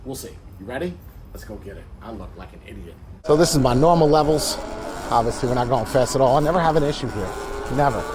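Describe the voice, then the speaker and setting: Over noticeable background noise and audible room echo, a man with a fairly high pitch talks at a very fast pace, with lively intonation, big swings in loudness, and long, frequent pauses. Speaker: tech reviewer. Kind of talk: casual vlog.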